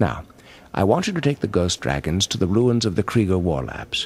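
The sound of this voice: In a cartoonish character voice, a man speaks at a low pitch with big pitch swings, a slightly mellow tone and a slightly husky edge. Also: moderate pace.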